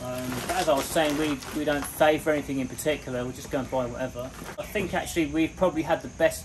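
A man speaks at a fairly quick pace and fairly high pitch. His intonation is fairly even, with clear background noise.

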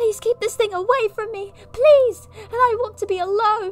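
Over faint background music, a man speaks softly at a moderate pace in an extremely high, put-on character voice. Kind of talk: comic overacting. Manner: frightened, tearful.

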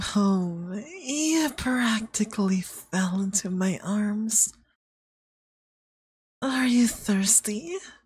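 A man puts on a character voice pitched high. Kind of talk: ASMR roleplay. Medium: virtual streamer. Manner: sweet, coaxing, quietly menacing.

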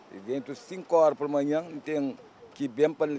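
Over light background noise, a man with a fairly high pitch speaks at a moderate pace in a dry sound without echo. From Cape Verde. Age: 60s. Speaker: fisherman; interviewee. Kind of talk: interview. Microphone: handheld.

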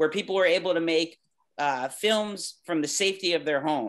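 A man with a high pitch speaks in an enthusiastic tone at a fairly quick pace, with ordinary pitch variation, against a quiet background. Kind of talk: virtual panel meetup. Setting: video call. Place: home room. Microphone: video call.

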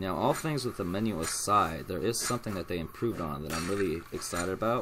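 Over noticeable background noise, a man with an American accent talks at a very fast pace. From US South. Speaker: gaming YouTuber. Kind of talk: let's play commentary. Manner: casual, rambling. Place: home room.

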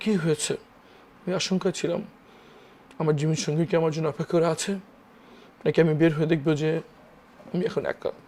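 A man speaks with a high pitch in a dark, mellow tone. His intonation is monotone and flat. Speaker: lawyer, former detainee. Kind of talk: interview testimony. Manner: halting.

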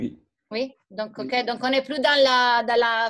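A woman keeps her intonation fairly even while the background stays quiet. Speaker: teacher. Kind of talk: lecture. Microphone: video call.

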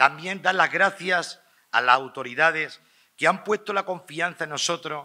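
A man speaks at a fairly slow pace in a bright, sharp tone. The background is quiet. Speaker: pregonero giving festival address. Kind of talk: ceremonial festival address (pregón), formal oratory. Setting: stage with audience. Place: hall. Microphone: podium.

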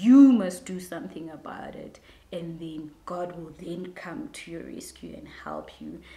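Audible room echo surrounds a woman who speaks fairly slowly in a somewhat breathy voice with a dark, mellow tone. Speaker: vlogger. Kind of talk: casual vlog chat. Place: home room.

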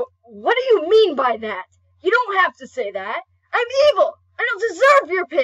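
A cartoonish character voice shouts at an extremely high pitch with very wide pitch swings, moving at a moderate pace. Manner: angry, shouting.

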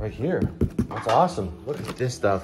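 Clear music runs in the background. A man talks over it. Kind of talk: casual vlog chat. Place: home room. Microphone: phone near.

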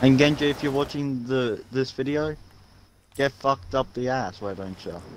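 Over noticeable background noise, a man speaks at medium pitch and a moderate pace with ordinary pitch variation. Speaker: gamer. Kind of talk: casual gameplay chat. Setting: online voice chat. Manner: animated.

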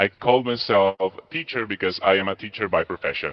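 A man speaks at a fairly low pitch with ordinary pitch variation. The background is quiet. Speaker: teacher applicant; online English teacher applicant. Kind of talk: demo class; demo lesson and interview answers. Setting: video call. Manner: animated. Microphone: unstable internet connection; headset.

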